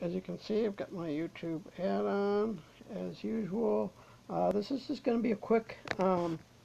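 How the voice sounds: A woman's raspy, put-on character voice at medium pitch and a moderate pace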